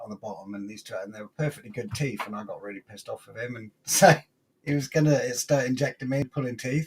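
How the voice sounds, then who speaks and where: In a British accent, a man talks at a fairly quick pace, his medium-pitched voice showing ordinary pitch variation. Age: 40s. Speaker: podcast panelist. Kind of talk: casual chat. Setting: live stream. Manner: animated.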